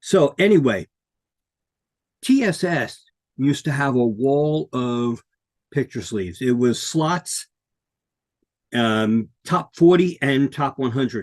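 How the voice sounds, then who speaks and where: A man with an American accent speaks at a very slow pace, with long, frequent pauses and lively intonation in a fairly high pitch. The sound is dry and close, with no echo. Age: 60s. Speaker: podcast co-host and author. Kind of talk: casual talk to camera. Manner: hesitant, many fillers.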